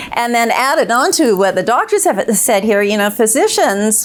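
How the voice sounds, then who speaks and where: The woman's speech moves at a moderate pace. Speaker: clinical psychologist. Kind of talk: panel discussion. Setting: stage with audience. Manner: loud.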